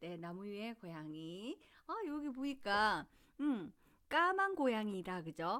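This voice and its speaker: A woman's fairly high voice at a very slow pace, with very wide pitch swings. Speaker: children's book reader and parenting channel host. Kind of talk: casual talk and reading a picture book aloud to parents. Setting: outdoors in daylight.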